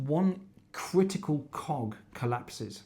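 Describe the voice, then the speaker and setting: Somewhat breathy and dark, mellow in tone, a man's fairly high voice moves with lively intonation. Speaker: climate educator. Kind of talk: lecture.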